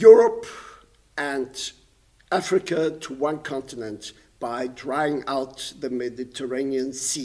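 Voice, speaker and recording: A man talks very slowly at a fairly high pitch, his intonation fairly even but his loudness swinging widely. Noticeable background noise runs underneath. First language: German. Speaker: painter and composer. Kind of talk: lecture. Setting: stage with audience.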